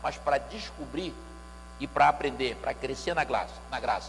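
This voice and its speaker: There is noticeable background noise throughout. Through it, a man speaks at a moderate speed. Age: 60s. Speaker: pastor and music lecturer. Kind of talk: church lecture.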